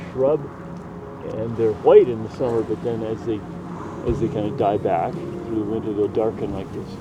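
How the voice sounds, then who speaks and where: A man with a Canadian Prairie accent at medium pitch and a moderate pace, with ordinary pitch variation, long, frequent pauses, and noticeable background noise. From Canadian Prairies. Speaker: nature guide. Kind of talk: casual explanation. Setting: outdoors, prairie grassland.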